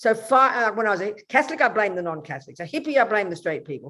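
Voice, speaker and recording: Racing along at a very fast pace, a woman speaks with a fairly high pitch and very wide pitch swings. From Australia. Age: 70s. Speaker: Buddhist nun. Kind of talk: interview.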